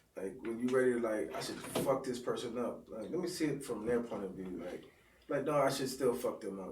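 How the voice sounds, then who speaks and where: A man talks with lively intonation at a fairly quick pace. Room echo is audible. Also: medium pitch for a man. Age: 40s. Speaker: podcast co-host. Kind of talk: casual chat. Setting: live stream.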